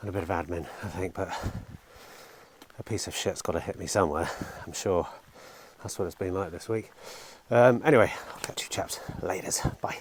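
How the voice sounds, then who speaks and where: Over noticeable background noise, a man with a very deep, low voice talks at a fairly quick pace, with big swings in loudness and long, frequent pauses. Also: ordinary pitch variation. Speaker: car dealer vlogger. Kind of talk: casual vlog.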